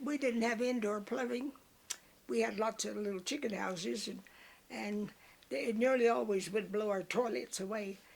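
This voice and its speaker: Ordinary pitch variation and a moderate pace carry this speech in a Texas Panhandle accent. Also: woman, fairly high pitch for a woman. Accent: Texas Panhandle rural. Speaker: elderly woman telling memories. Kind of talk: oral history interview. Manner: halting.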